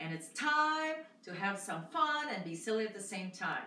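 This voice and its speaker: A woman speaks at a moderate pace. The room echoes audibly, with light background noise. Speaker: fitness instructor. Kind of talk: exercise class instruction. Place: home room. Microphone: camera far.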